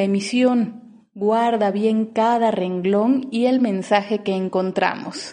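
Background noise is noticeable as a woman speaks at a very slow pace. Her pitch is fairly high, with ordinary variation. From Mexico, Oaxaca. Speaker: poet podcaster. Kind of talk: poetry reading with commentary.

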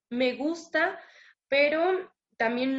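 This woman speaks with a Mexican accent and ordinary pitch variation. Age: 20s. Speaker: recovering addict sharing her story. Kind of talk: testimony.

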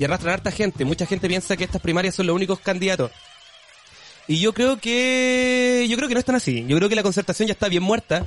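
With a Chilean accent, a man speaks very fast at a high pitch with lively intonation and very even loudness. Noticeable background noise sits behind him. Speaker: podcast co-host. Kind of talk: casual chat. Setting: live stream.

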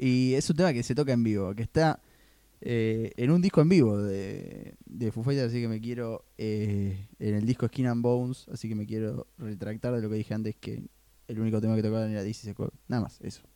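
A man with a Rioplatense accent, medium in pitch, with a dark, mellow tone, ordinary pitch variation, and a moderate pace, in a very clean recording with a silent background. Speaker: podcast host. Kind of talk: casual chat. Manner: animated.

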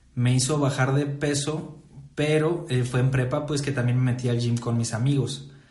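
A man at a medium pitch and moderate pace, monotone and flat in intonation, with audible room echo. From Mexico, Saltillo, Coahuila. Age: 20s. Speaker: nutritionist and podcast host. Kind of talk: casual chat.

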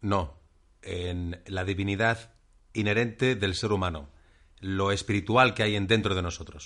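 A man with a fairly low voice speaks at a fairly slow pace, in an unremarkable speaking voice. His intonation is fairly even, and the background is quiet. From Catalonia, Spain. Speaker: podcast co-host. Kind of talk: casual chat.

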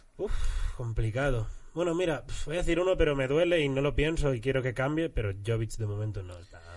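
A man at medium pitch, fairly quick in pace, with lively intonation and big swings in loudness, plus audible room echo. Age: 30s. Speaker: comedian. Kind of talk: casual chat.

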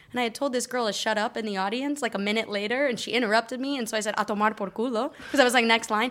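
Speaking very fast with hardly any pauses, a woman with a General American accent keeps a fairly high pitch and fairly even intonation. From Colorado, US. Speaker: comedian. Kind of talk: casual chat.

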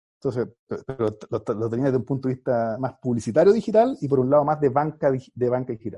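At a very fast pace with hardly any pauses, a man speaks in a medium pitch with ordinary pitch variation. His tone is dark and mellow, and somewhat breathy. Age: 40s. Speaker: marketing agency founder and MBA professor. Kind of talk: interview. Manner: halting, many repetitions.

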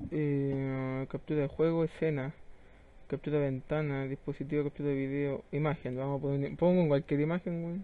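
Monotone, flat intonation in a Chilean accent. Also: man, fairly high pitch for a man, moderate pace. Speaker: gaming podcast host. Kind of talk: casual chat. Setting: live stream.

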